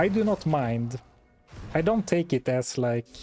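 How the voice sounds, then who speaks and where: Heard dry and close with no echo, a man with a fairly high pitch speaks at a fairly slow pace, his pitch swinging very widely while his loudness stays very even, with music in the background. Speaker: video creator. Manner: calm, doesn't raise voice, measured slow-paced.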